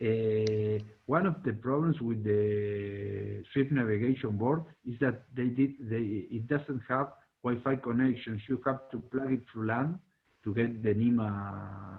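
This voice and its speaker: A man with a Spanish accent speaks at a very slow pace. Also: medium pitch for a man, ordinary pitch variation. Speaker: robotics hobbyist. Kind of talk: community meeting presentation. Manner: halting, many fillers.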